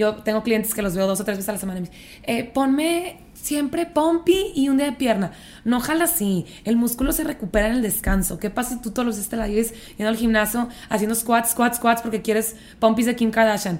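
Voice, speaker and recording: A woman's unremarkable speaking voice, fairly high, with lively intonation at a fairly quick pace. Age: 30s. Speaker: fitness trainer. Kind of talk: casual chat.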